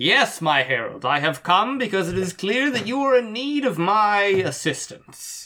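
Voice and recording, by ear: Put-on character voice, fairly high-pitched, at a moderate pace with hardly any pauses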